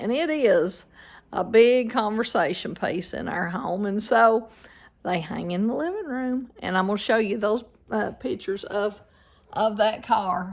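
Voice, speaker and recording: With a Southern Appalachian accent, a woman speaks at a fairly slow pace in a fairly high pitch with lively intonation. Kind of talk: casual storytelling to camera.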